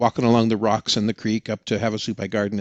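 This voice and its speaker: The sound is dry and close with no echo. A man with a normal speaking voice talks at a medium pitch and a fairly quick pace. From Oregon. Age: 60s. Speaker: experienced hiker, tech salesman. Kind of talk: podcast interview.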